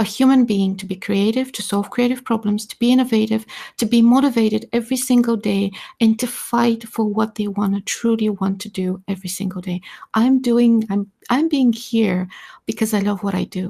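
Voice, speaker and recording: In a very clean recording with a silent background, a woman speaks at a moderate pace, somewhat breathy, with fairly even intonation. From Balkans, just north of Greece, Greek family. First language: not English (English is second language). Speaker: artist and creativity researcher, panel guest. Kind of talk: live audio-space panel discussion. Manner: hesitant, searching for words.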